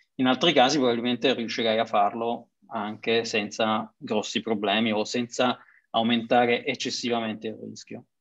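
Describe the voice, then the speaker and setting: At a moderate pace, a man with a medium pitch speaks in a monotone, flat way. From Sicily (Messina area). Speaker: consultant, webinar host. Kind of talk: webinar moderation. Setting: video call.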